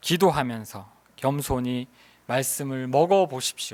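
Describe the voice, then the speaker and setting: A man speaks at a very slow pace in a very clean recording with a silent background. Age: 50s. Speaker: missionary preacher. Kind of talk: sermon. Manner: hesitant, with fillers.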